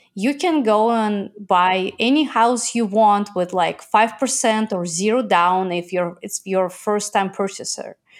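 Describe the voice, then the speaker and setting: A woman speaks at a fairly slow pace with a Russian accent, her pitch medium and its variation ordinary. The recording is very clean, with a silent background. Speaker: entrepreneur. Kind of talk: interview.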